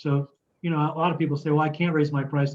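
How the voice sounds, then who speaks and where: Somewhat breathy, a man speaks at a fairly high pitch with monotone, flat intonation. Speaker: construction consultant. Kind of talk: lecture. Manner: fast; halting, many fillers.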